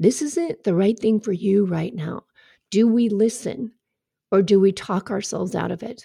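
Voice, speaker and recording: At a moderate pace, a somewhat breathy voice with a dark, mellow tone carries ordinary pitch variation. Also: woman, medium pitch for a woman. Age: 50s. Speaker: podcast host and life coach. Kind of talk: solo podcast monologue.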